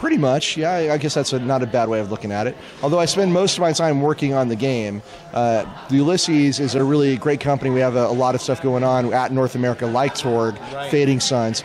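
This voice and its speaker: At a fairly quick pace, a man with a medium pitch and ordinary pitch variation talks over noticeable background noise. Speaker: game designer. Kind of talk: interview answer.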